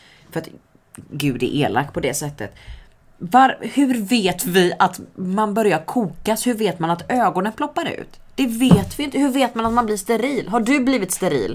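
A woman at medium pitch and moderate pace, with very wide pitch swings and vocal fry. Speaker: podcast co-host. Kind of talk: casual chat.

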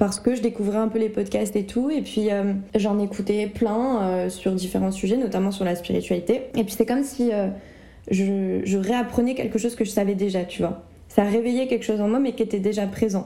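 Her voice has a dark, mellow tone and a medium pitch. The woman speaks at a moderate pace with fairly even intonation. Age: 20s. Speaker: medium and spiritual guide, entrepreneur. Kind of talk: casual interview.

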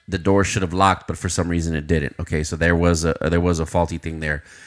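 With an American accent, a man speaks in a very deep, low pitch and monotone, flat intonation, with hardly any pauses. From Uvalde, Texas. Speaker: podcast co-host. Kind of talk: casual chat.

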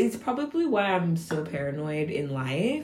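Her tone animated and her pitch swinging very widely, the woman talks over noticeable background noise. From Nigeria, raised in San Francisco Bay Area. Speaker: podcast co-host. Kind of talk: casual chat. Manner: animated, laughing often.

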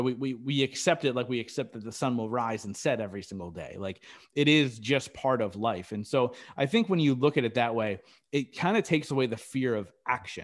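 An ordinary speaking voice, a man's at medium pitch, ordinary pitch variation, fairly quick pace, on a very clean recording with a silent background. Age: 30s. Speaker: podcast host appearing as guest. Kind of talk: interview.

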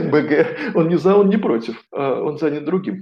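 A man's voice, high in pitch. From Moscow, Russia. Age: 40s. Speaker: coach and philologist, former priest. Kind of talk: interview.

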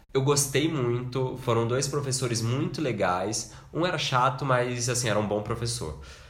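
Somewhat breathy, a man speaks at a moderate pace and medium pitch with hardly any pauses. Pitch variation is ordinary, and audible room echo is present. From Brazil, Minas Gerais. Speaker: podcast co-host, architect. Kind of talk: casual chat.

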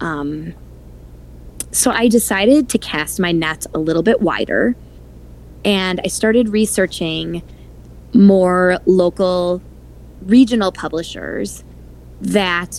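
A woman with an Upper Midwest accent, speaking at a very slow pace. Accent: Upper Midwest American. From Wisconsin, Milwaukee. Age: 40s. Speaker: author. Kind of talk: interview.

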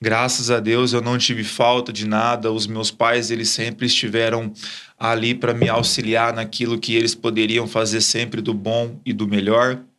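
A man's medium pitch and bright, sharp tone, fairly even intonation, fairly slow pace, very clean recording with a silent background. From Brazil, Ribeirão Preto (São Paulo state). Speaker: church leader. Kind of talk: testimony.

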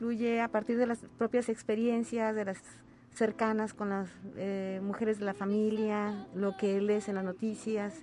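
Her fairly high voice holds a fairly even intonation as this woman talks at a moderate pace against noticeable background noise. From Huasteca region, San Luis Potosí, Mexico. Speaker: singer-songwriter and retired teacher. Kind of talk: radio interview. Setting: radio studio.

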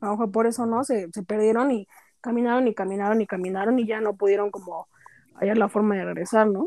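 A woman with a fairly high pitch and a dark, mellow tone, fairly even intonation and a fairly quick pace, in dry, close sound with no echo. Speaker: podcast panelist. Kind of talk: casual chat.

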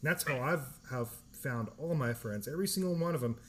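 A man with an American accent speaks at a moderate pace with lively intonation, his voice somewhat breathy. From California. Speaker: podcast host, military veteran. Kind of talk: casual chat.

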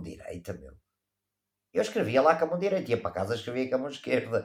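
Very wide pitch swings run through this voice. Vocal fry can be heard in it. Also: man. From Portugal. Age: 50s. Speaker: travel photographer. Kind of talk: casual chat. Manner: animated.

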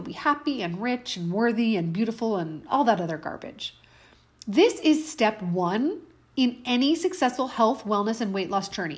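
In an animated, upbeat tone, a somewhat breathy woman speaks at a moderate pace with a fairly high pitch and lively intonation. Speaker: health coach and podcast host. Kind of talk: solo podcast monologue; angry rant, mimicking a frustrated woman's inner voice. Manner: animated, upbeat, conversational; indignant, sarcastic, fired up, sharp and emphatic.

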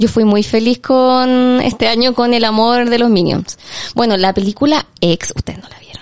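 Animated in tone, a woman with a fairly high pitch talks at a moderate pace with big swings in loudness. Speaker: film podcast host. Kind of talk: casual chat.

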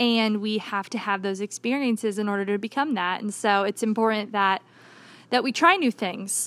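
A woman uses a normal speaking voice with ordinary pitch variation, keeping to a moderate pace. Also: fairly high pitch for a woman. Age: 20s. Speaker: church youth director. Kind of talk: interview.

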